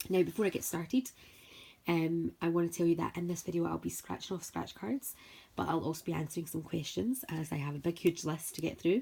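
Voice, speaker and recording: In a Scottish accent, a woman talks at a fairly quick pace with a dark, mellow tone, fairly low pitch, vocal fry and ordinary pitch variation, on a very clean recording with a silent background. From Scotland, Paisley near Glasgow. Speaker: scratch card video creator. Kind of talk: casual vlog talk. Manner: chatty, talkative.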